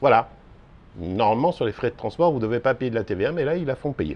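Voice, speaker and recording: Here a man talks at a medium pitch. His intonation is lively. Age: 60s. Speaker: small e-bike parts seller. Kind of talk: casual explainer video. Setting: outdoors on a terrace.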